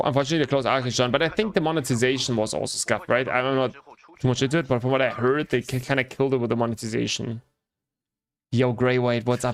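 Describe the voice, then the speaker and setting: A man with a German accent speaks at a very fast pace and medium pitch. His loudness stays very even, with ordinary pitch variation. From Germany. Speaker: gaming streamer. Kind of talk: casual live-stream chat while gaming. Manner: casual, animated.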